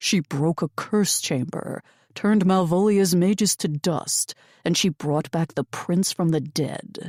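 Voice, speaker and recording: Doing a put-on character voice, a woman speaks in a rumbling, fairly low pitch at a fairly slow pace on a very clean recording with a silent background. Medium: read story. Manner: hushed and intense.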